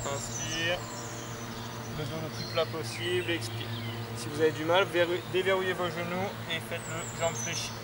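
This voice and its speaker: Loud background noise fills the clip. A man is speaking. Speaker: fitness instructor. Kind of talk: exercise class instruction. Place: open country.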